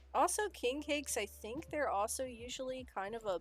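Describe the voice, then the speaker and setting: With an American accent, a woman speaks using lively intonation and vocal fry. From Illinois, Chicago area. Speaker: vtuber streamer. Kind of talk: casual chat. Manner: slight slurring.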